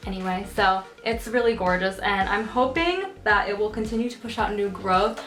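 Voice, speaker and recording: A woman speaks at medium pitch and a moderate pace with ordinary pitch variation and hardly any pauses. Noticeable background noise sits behind her. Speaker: houseplant YouTuber. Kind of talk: casual video tutorial. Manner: animated.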